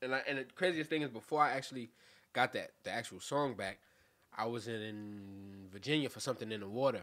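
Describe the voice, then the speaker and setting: A man with a Brooklyn accent talks at a fairly quick pace in a medium pitch with ordinary pitch variation. His tone is bright and sharp, and his loudness swings widely. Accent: New York (Brooklyn). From Brooklyn, New York (Cypress Hills / East New York). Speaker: rapper. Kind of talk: casual interview.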